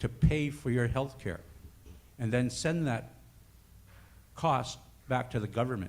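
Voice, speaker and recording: Audible room echo surrounds a man of medium pitch whose pitch varies in an ordinary way. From Northern Ontario First Nation. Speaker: First Nations health worker. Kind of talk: conference speech.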